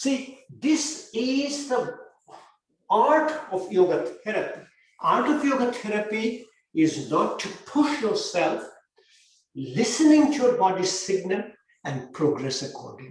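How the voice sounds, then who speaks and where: With an extremely high pitch and very wide pitch swings, a man speaks at a fairly slow pace, leaving long, frequent pauses, and the room echo is audible. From India, Bengal. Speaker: physician and yoga therapy teacher. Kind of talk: lecture with Q&A.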